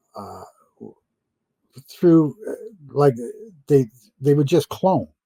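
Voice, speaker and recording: A man's fairly high, somewhat breathy voice has a dark, mellow tone, ordinary pitch variation and big swings in loudness. He speaks at a very slow pace, recorded dry and close with no echo. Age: 70s. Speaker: interview guest claiming secret space program experience. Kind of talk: interview. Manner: halting, many fillers and repetitions.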